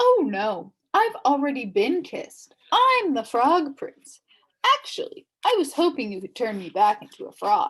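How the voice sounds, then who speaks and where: Putting on a character voice, a woman speaks at a moderate pace in a high pitch. Her pitch swings very widely. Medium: read story. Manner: polite.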